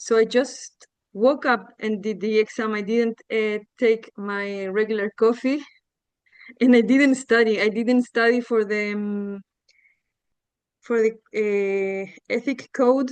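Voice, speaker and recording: A woman with a Spanish accent speaks at a very slow pace, with long, frequent pauses. Her fairly high voice holds a fairly even intonation. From Chile. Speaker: coach. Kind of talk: casual testimony. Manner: halting.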